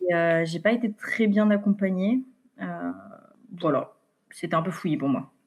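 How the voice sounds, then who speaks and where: A woman talks at a fairly slow pace and medium pitch, with ordinary pitch variation and long, frequent pauses. The recording is very clean, the background silent. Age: 20s. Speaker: mother sharing breastfeeding story. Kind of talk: interview testimony. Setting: podcast interview. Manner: many hesitations (euh).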